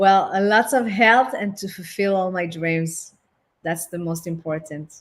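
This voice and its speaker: A woman with a French accent talks fairly slowly at a medium pitch, with ordinary pitch variation. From France. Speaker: relationship and intimacy therapist. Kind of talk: interview. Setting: online platform.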